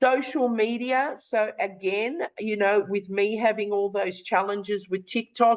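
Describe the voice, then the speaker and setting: A woman talks in a plain, everyday voice at fairly high pitch. She moves at a fairly slow pace with ordinary pitch variation and hardly any pauses. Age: 60s. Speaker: online business presenter. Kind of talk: webinar sales presentation.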